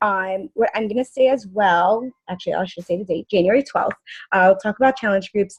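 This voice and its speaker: Recorded dry and close with no echo, a woman speaks fairly quickly at a medium pitch, somewhat breathy, with ordinary pitch variation. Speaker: fitness coach team leader. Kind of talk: team conference call presentation. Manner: fast.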